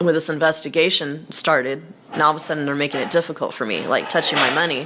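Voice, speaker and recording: Fairly even intonation at a fairly quick pace. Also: woman. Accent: American. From United States. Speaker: online financial activist / vlogger. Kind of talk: casual video monologue.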